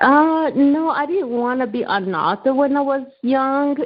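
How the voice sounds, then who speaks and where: Speaking at a very slow pace, a woman has a non-native accent. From Rwanda. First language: not English. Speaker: author. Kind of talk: interview.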